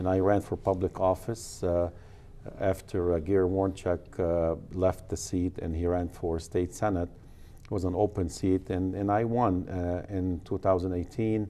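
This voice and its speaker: With an Arabic accent, a man speaks fairly slowly in a very deep, low pitch, his tone dark and mellow and his intonation monotone and flat. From Lebanon, then Dearborn, Michigan from age 15. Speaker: county commissioner and real estate agent. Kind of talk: interview.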